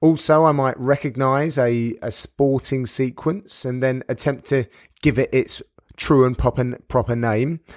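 A man with a British accent speaks fairly slowly with fairly even intonation, in a very clean recording with a silent background and a dry, close sound with no echo. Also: medium pitch for a man. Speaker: sports commentator. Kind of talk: podcast monologue.

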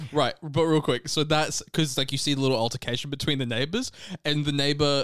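Moving at a fairly quick pace, a man talks with an Australian accent. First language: Serbian. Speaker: podcast co-host.

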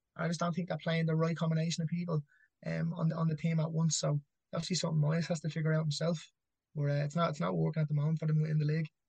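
A man with an Irish accent talks at a very fast pace in a fairly high pitch. His intonation is monotone and flat, and his loudness stays very even. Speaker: amateur MMA fighter. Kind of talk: casual chat.

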